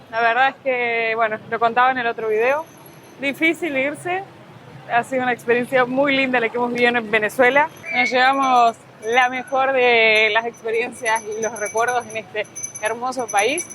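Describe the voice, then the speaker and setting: There's noticeable background noise behind this woman's high-pitched voice. She keeps a moderate pace with ordinary pitch variation. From Argentina. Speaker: travel vlogger. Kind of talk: travel vlog narration.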